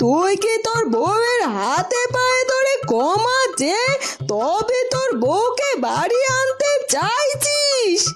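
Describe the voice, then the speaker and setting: A cartoonish character voice with an extremely high pitch speaks at a very slow pace over clear music in the background. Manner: sarcastic, quarrelsome.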